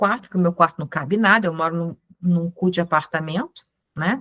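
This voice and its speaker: The recording is dry and close, without any echo. In it, a woman talks with an animated tone. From Brazil, Ceará; raised in Rio de Janeiro. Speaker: Hellenism practitioner and teacher. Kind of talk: informal online talk to a group.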